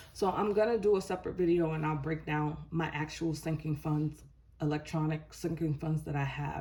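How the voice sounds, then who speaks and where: A somewhat breathy woman's voice, very deep and low with a dark, mellow tone, fairly even in intonation, at a moderate pace. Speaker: budgeting YouTuber. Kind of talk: casual vlog tutorial.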